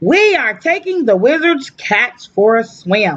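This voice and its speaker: In a put-on character voice, a female-sounding speaker goes at a fairly slow pace with high pitch and very wide pitch swings. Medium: read story.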